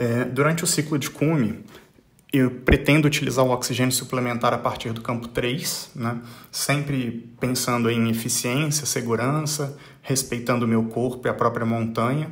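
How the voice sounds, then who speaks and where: Amid audible room echo, a man of medium pitch talks at a moderate pace, somewhat breathy, with fairly even intonation. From Brazil. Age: 40s. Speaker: mountaineer and business executive. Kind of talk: recorded voice message. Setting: pre-recorded audio message.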